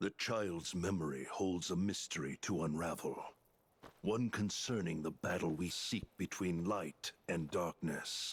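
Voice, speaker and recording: A man uses a put-on character voice, very deep and low, at a fairly slow pace. The loudness stays very even, pitch varies in an ordinary way, and the sound is dry and close with no echo. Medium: video game. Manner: cold, commanding.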